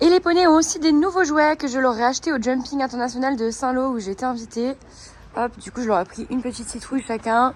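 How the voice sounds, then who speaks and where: A woman speaks very fast in a high pitch, her pitch varying in an ordinary way. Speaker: equestrian vlogger. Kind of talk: casual vlog chat. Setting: stables. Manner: hesitant, many fillers.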